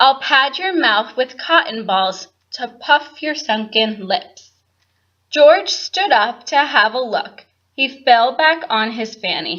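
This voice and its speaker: Raising and projecting her high voice, a woman speaks at a very slow pace in a dramatic tone that is bright and sharp, swinging very widely in pitch. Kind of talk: children's picture book read-aloud. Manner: dramatic, expressive.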